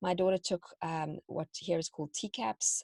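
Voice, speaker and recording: In a South African accent, a woman speaks at a fairly low pitch, somewhat breathy, with fairly even intonation. The sound is dry and close, with no echo. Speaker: homeschooling parent and teacher. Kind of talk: interview.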